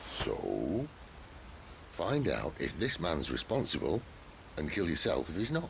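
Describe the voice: A man's put-on character voice, extremely low in pitch with vocal fry, very wide pitch swings and a fairly slow pace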